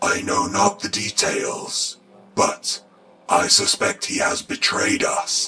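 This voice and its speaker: A man speaks at a fairly slow pace in a raspy voice. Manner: formal, stern, authoritative.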